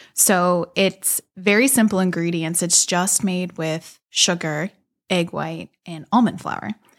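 Speaking at a very slow pace with an American accent, the voice comes through in a very clean recording with a silent background. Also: woman, fairly low pitch for a woman, ordinary pitch variation. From Pittsburgh area, Pennsylvania (South Hills). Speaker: bakery owner. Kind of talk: interview conversation.

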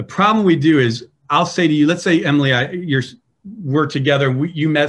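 Using a normal speaking voice with an American accent, a man talks at a fairly quick pace. His pitch is fairly high, with ordinary variation. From US Midwest. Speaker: pastor and leadership trainer. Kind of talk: interview.

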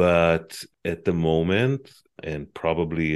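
A man with an Israeli accent and a very deep, low pitch speaks at a fairly slow pace with fairly even intonation over a quiet background. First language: Hebrew. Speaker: advocacy group executive, former journalist. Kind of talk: interview.

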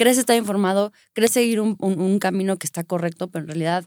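At a very fast pace, a woman talks with ordinary pitch variation in a dry, close sound with no echo. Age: 30s. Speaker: lawyer and acrobat. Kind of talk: casual chat.

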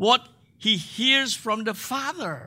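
A man speaks in a raised, projected voice with a bright, sharp tone. His intonation is lively, and the recording is very clean with a silent background. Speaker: guest preacher. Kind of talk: sermon. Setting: church.

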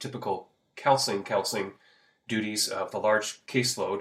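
A man with an American accent and a fairly low pitch speaks at a moderate pace in a very clean recording with a silent background. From US Pacific Northwest. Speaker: high school AP coordinator. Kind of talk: casual interview chat. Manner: hesitant, filler-heavy.

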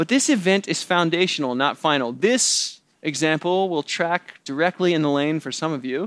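With hardly any pauses, a man talks at a moderate pace in an ordinary speaking voice, fairly high in pitch, with ordinary pitch variation. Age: 30s. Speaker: pastor. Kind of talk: sermon.

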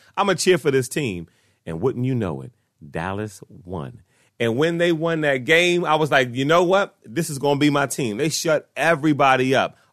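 In a quiet background, a man with an American accent uses a plain, everyday voice, a fairly high pitch, lively intonation and a moderate pace. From Washington, D.C. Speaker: sports podcast host. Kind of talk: casual solo sports commentary. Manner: conversational, frequent fillers.

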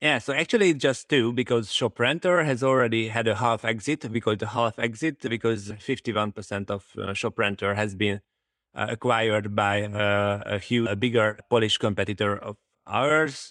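In a Hungarian accent, a man speaks at a medium pitch and moderate pace with ordinary pitch variation, the sound dry and close with no echo and the background quiet. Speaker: startup founder. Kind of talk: interview. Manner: halting, many fillers.

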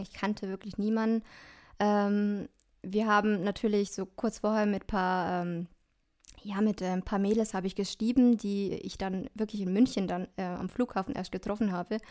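A woman at medium pitch speaks at a moderate pace in a monotone, flat delivery. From Germany, Dillingen. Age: 20s. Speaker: educator and social work student. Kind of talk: interview.

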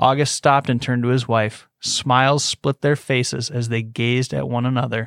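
This is plain reading aloud with fairly even intonation. The background is quiet.

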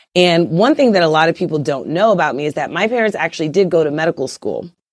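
Talking very fast with ordinary pitch variation, a woman with a fairly low voice and a New York accent comes through on a very clean recording with a silent background. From Brooklyn, New York. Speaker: OB/GYN physician. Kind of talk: interview. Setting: podcast interview.

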